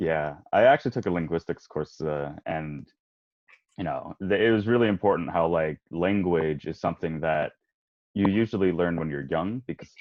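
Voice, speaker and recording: With an American accent, this man has a very deep, low pitch, ordinary pitch variation and a moderate pace. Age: 20s. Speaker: college student and voice actor guest. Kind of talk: casual podcast chat. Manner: conversational, many fillers.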